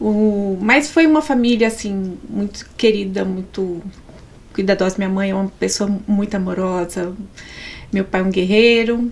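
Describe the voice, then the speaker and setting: A woman speaks fairly slowly. There is ordinary pitch variation in her voice. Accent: Minas Gerais. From Brazil, Minas Gerais. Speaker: psychologist, pastor's wife. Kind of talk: podcast interview, personal testimony.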